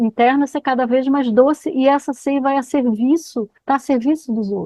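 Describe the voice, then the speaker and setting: Here a woman speaks with a high pitch and ordinary pitch variation. Her pace is moderate. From Rio de Janeiro, Brazil. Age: 60s. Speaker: biography counselor and lecturer. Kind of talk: lecture Q&A.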